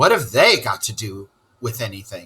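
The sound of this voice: Putting on a character voice, a man speaks at a moderate pace in a fairly low pitch with a husky, rough edge, a bright, sharp tone and big pitch swings.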